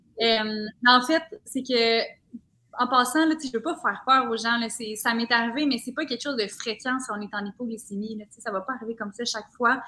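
In a Quebec accent, a woman speaks with a bright, sharp tone at a fairly high pitch. She keeps a fairly quick pace and fairly even intonation. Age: 20s. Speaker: social media content creator. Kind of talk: casual chat.

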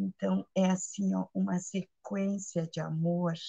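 A woman speaks in a fairly low pitch with a dark, mellow tone, somewhat breathy. The sound is dry and close, with no echo. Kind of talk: spiritual sharing.

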